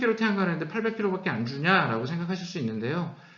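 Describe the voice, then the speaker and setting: Audible room echo and noticeable background noise surround a man's voice. His pitch is high and swings very widely. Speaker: company CEO giving lecture. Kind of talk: lecture. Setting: online lecture. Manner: speeding up, hurried.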